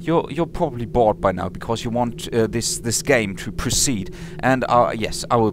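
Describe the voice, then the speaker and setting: There is noticeable background noise behind a man at medium pitch. He moves at a moderate pace with hardly any pauses and very wide pitch swings. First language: not English. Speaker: let's play gamer. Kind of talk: game commentary. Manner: halting, many fillers.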